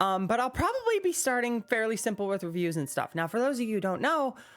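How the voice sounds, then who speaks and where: A woman talks at a fairly quick clip with an animated tone and very wide pitch swings. Background noise is noticeable. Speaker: gaming YouTuber. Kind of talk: casual talking-head monologue. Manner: stuttering, many ums.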